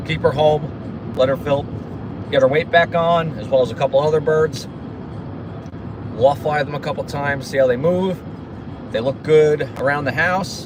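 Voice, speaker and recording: Over noticeable background noise, a man with a New Jersey accent speaks at a moderate pace and a fairly high pitch, with fairly even intonation and long, frequent pauses. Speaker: pigeon racer livestreaming. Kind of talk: casual livestream chat.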